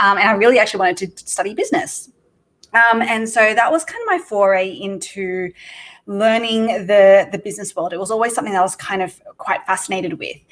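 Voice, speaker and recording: A woman with an Australian accent speaks at a fairly quick pace and medium pitch, with ordinary pitch variation. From Australia (Sydney). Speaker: entrepreneur. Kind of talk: podcast interview. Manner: casual, many filler words.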